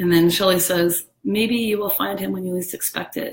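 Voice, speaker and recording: A woman talks at a medium pitch. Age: 40s. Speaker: live streamer. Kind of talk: casual chat. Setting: live video stream.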